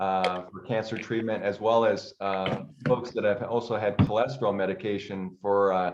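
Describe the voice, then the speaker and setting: A fairly low-pitched male voice at a moderate pace, with ordinary pitch variation. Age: 60s. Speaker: chiropractor. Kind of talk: interview on a group call. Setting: group call. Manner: hesitant, many filler words.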